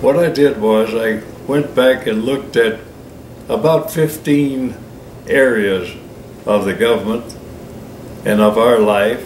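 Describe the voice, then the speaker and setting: Amid noticeable background noise and audible room echo, a man at medium pitch with ordinary pitch variation speaks at a very slow pace with long, frequent pauses. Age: 80s+. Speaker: writer and retired businessman. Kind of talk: extemporaneous monologue. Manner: unscripted, some hesitations.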